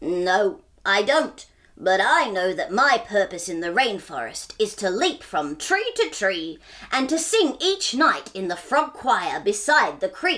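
A croaky, put-on character voice from a woman, medium in pitch and fairly slow in pace.

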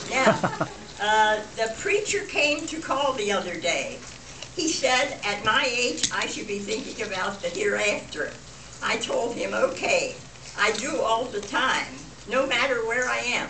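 A woman's high-pitched voice with lively intonation, set against noticeable background noise. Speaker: birthday guest of honor telling jokes. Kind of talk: joke telling to family. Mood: playful, lighthearted. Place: hall. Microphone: camera far.

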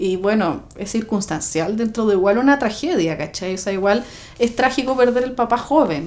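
Speaking with a Chilean accent, a woman uses a fairly high pitch, lively intonation and a fairly quick pace. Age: 30s. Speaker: documentary interviewee, homeowner by inheritance; interviewee. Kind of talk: documentary interview. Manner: casual, colloquial. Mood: light humour over sad topic. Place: home room.

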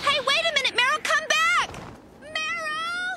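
A woman uses a cartoonish character voice at an extremely high pitch, with a bright, sharp tone, ordinary pitch variation and a fairly slow pace.

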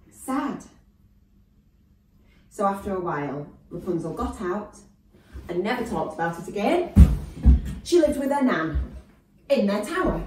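Amid noticeable background noise and audible room echo, a woman talks with very wide pitch swings and long, frequent pauses. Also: moderate pace. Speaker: storyteller. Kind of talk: children's story reading. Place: home room.

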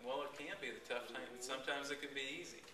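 A man's voice comes with audible room echo over light background noise. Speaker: fishing guide giving a talk. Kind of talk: informal talk to a club. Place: meeting room. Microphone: camera far.

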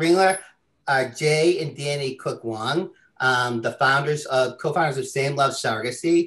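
Over a quiet background, a man speaks at a fairly slow pace. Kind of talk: webinar moderation. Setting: video call. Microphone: webcam.

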